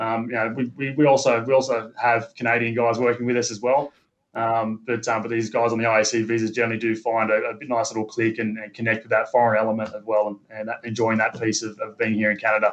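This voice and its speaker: The speaker rattles off words at a very fast pace in a flat monotone with a slight Australian accent, barely pausing at all. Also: man, medium pitch for a man. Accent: subtle Australian. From Australia, Sydney. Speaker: company manager recruiting labourers. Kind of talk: interview. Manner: halting, many fillers and repeats.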